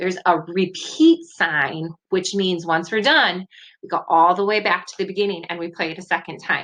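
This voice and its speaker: An unremarkable speaking voice: a woman at medium pitch and a moderate pace, with fairly even intonation and big swings in loudness. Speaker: music teacher. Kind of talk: tutorial.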